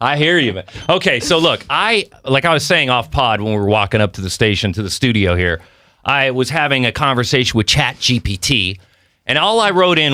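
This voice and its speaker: Recorded very cleanly against a silent background, a man with a bright, sharp tone and medium pitch makes very wide pitch swings at a moderate pace. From Mexico City. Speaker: podcast host. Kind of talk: casual chat. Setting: studio.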